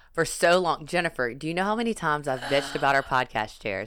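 With a Louisiana accent, a woman speaks in an animated tone. Her intonation is lively. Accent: Louisiana Southern US. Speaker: podcast host. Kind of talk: casual chat.

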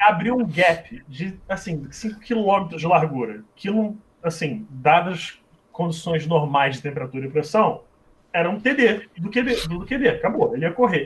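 A man with a high pitch delivers his words fairly slowly, his intonation lively. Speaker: former American football quarterback and game commentator. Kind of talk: casual chat.

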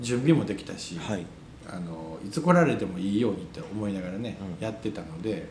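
A man speaks in a Wakayama accent at a moderate pace, with very wide pitch swings. Audible room echo surrounds the voice. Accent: Kansai (Wakayama) dialect. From Wakayama, Ryujin village. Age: 40s. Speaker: restaurant owner. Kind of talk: interview. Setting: cafe. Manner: halting.

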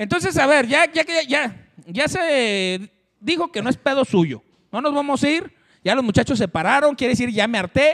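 In a Mexican accent, a man speaks in an animated tone with very wide pitch swings, recorded in a dry, close sound with no echo. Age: 40s. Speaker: show host. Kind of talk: casual chat.

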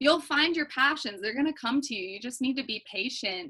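With an American accent, a woman speaks with lively intonation. Her tone is bright and sharp. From Minnesota. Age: young. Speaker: recent high school graduate. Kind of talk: casual interview.

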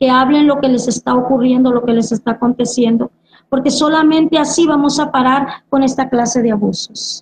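Fairly quick, high-pitched speech from a woman. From Mexico, Veracruz (Tuxpan). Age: 50s. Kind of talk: religious testimony.

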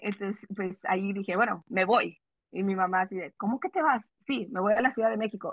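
Talking at a fairly quick pace, a woman has a fairly high, somewhat breathy voice. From California, US (Salinas), Mexican-American family. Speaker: sports reporter. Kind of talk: casual interview.

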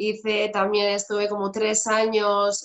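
Very slow speech in a woman's medium-pitched voice. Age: 30s. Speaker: fitness instructor. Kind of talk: interview.

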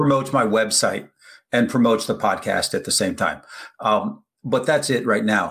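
Speaking at a moderate pace, this man has a medium pitch. He has an unremarkable speaking voice. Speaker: podcast host. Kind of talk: casual interview. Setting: video call.

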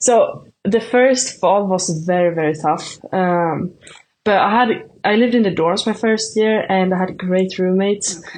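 Speaking with a Swedish accent, a woman has a medium pitch and ordinary pitch variation. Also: moderate pace. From Sweden. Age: 20s. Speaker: shot putter, student athlete. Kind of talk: casual interview. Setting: remote call.

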